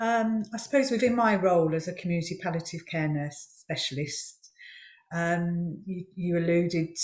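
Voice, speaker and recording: With a Birmingham accent, a woman speaks at a moderate pace in a fairly low, somewhat breathy voice. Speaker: palliative care nurse. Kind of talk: panel discussion.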